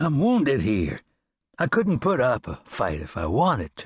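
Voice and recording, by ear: Putting on a raspy character voice, a man speaks at a moderate pace at a medium pitch that swings very widely.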